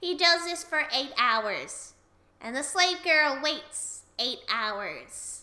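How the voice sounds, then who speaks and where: A woman speaks with a high pitch at a very slow pace. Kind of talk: comic anecdote retelling. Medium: read story. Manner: jokey.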